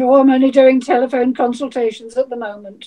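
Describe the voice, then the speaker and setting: A female-sounding, put-on character voice, high in pitch, comes at a fairly quick pace. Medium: stage play.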